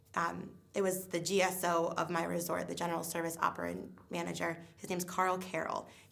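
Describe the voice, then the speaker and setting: A woman talks at a fairly quick pace with hardly any pauses, and the room echo is audible. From New England. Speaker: theme park guest relations worker. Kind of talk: interview testimony. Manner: fast.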